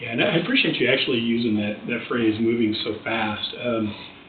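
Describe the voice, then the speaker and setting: A medium-pitched man speaks at a fairly quick pace, with audible room echo and noticeable background noise. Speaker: project presenter at county commission. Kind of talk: public meeting presentation. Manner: fast.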